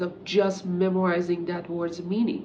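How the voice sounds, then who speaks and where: A woman with a Persian accent speaks at a fairly slow pace, with audible room echo and noticeable background noise. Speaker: English teacher. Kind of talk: talking-head tutorial.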